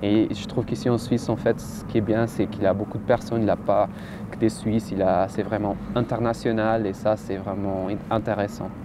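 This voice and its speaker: The voice runs at a fairly quick pace in a flat monotone, with noticeable background noise. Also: man, fairly low pitch for a man. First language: not French; learned French after moving to Switzerland (speaking French). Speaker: doctoral student. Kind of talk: interview. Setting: outdoors, university courtyard. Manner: halting.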